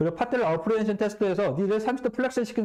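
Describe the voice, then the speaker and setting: A man is talking. His intonation is lively. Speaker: physical therapy lecturer. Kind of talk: lecture. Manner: fast.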